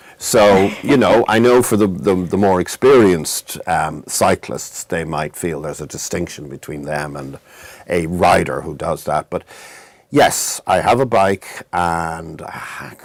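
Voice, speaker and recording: A man's very deep, low voice with an American accent, lively intonation, big swings in loudness and a fairly slow pace. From Ireland, Dublin. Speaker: nonprofit executive director. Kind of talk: interview.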